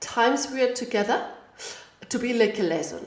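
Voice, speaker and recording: Against audible room echo and noticeable background noise, a woman talks at a moderate pace. Her pitch is high. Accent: Spanish. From Spain. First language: Spanish. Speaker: language teacher. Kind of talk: audio lesson. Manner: halting.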